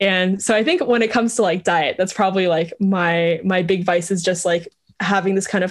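Here a woman has a normal speaking voice, pitched in the medium range and delivered at a moderate pace. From Vietnam, moved to US as a child. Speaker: startup co-founder. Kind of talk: interview.

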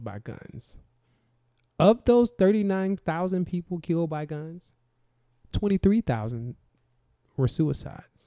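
A man with an American accent talks very slowly in a fairly high voice, his dark, mellow tone carrying lively intonation in a dry, close sound with no echo. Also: very clean recording, silent background. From US South. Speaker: podcast co-host. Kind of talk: casual political discussion.

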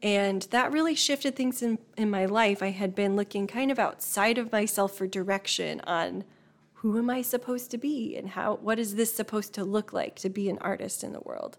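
This woman has an unremarkable speaking voice with an American accent and a fairly high pitch. She talks at a moderate pace with ordinary pitch variation. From northern Indiana, small town. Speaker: painter and art facilitator. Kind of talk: casual interview.

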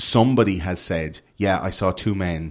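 A man speaks in an Irish accent with a very deep, low pitch. The recording is very clean, with a silent background. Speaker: conspiracy podcaster. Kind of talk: casual chat. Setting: hotel room studio.

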